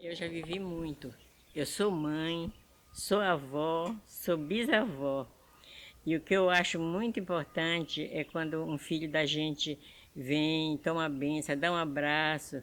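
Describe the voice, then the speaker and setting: A woman with a very deep, low pitch talks at a very slow pace. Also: ordinary pitch variation. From Brazil, Pará (Amazon riverside, Moju). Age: 80s+. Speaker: elderly woman telling her life story. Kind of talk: personal testimony. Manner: halting.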